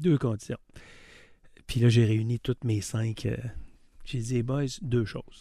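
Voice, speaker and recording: Delivered at a very slow pace, the voice has a dark, mellow tone. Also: man. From Quebec City, Quebec. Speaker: car dealership owner. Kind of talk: interview.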